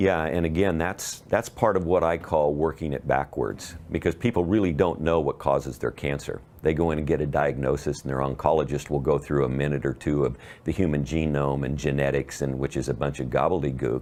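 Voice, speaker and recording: Speaking at a fairly quick pace with hardly any pauses, a man has a very deep, low pitch and vocal fry. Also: ordinary pitch variation, quiet background. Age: 60s. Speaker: cancer health advocate. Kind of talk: interview.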